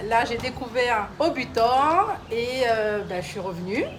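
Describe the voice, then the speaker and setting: Fairly high-pitched speech from a woman at a fairly slow pace, ordinary pitch variation, audible room echo and noticeable background noise. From Réunion island (Sainte-Marie). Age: 40s. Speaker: gym client giving testimonial. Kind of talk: testimony. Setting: gym, live video stream.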